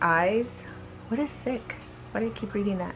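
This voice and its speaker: A woman speaks with music in the background. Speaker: horror story vlogger. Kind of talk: reading aloud. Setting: bedroom. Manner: soft-spoken.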